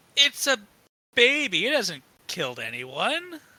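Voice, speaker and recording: Fairly high in pitch, this is a put-on character voice. The pace is fairly slow. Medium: actual play. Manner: curt, defiant.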